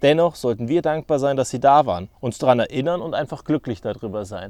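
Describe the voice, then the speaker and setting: A man's fairly high, ordinary speaking voice, fairly quick and with lively intonation, on a very clean recording with a silent background. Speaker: podcaster. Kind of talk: solo podcast monologue.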